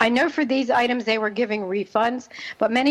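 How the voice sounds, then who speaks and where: A woman with a slight New Jersey accent at a very fast pace, with ordinary pitch variation and noticeable background noise. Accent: slight New Jersey twang. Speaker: radio host, parenting expert. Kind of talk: radio talk show monologue.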